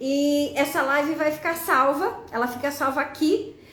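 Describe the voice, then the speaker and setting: Amid audible room echo, a woman with a high pitch talks at a fairly slow pace. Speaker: teacher presenting educational games. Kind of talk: live stream tutorial. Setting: live stream on social media.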